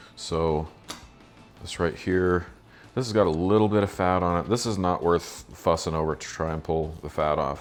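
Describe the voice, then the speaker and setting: A man with a very deep, low pitch and ordinary pitch variation speaks over music in the background. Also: moderate pace. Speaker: cooking channel host. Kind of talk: tutorial. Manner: casual.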